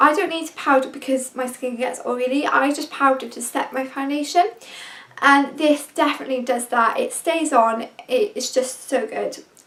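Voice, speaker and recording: At a fairly slow pace, a woman with a British accent speaks at a high pitch. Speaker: beauty vlogger. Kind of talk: product review vlog. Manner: enthusiastic.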